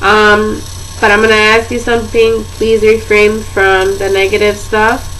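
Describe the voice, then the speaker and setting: In a New Jersey accent, a woman speaks at a fairly high pitch with monotone, flat intonation, very even loudness, and a fairly slow pace, with audible room echo and noticeable background noise. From northern New Jersey. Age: 20s. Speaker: vlogger with chronic pain. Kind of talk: casual chat.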